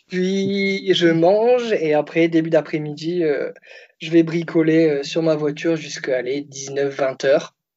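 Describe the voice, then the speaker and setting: Pitched fairly high with ordinary pitch variation, a man speaks at a very slow pace. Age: 20s. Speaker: car salesman. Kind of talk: casual chat. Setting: Skype call.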